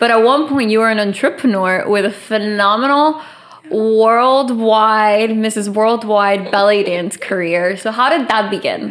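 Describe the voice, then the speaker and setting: The voice has ordinary pitch variation, and audible room echo is present. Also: woman, fairly high pitch for a woman, fairly slow pace. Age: 20s. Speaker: podcast host. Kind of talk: casual chat.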